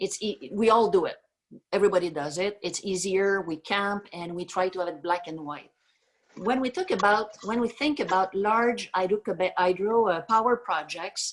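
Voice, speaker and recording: A woman speaks with a French-Canadian accent at a moderate pace. Her pitch sits at a medium level, with ordinary pitch variation. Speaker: energy company chief executive. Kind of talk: video Q&A. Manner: halting with many fillers.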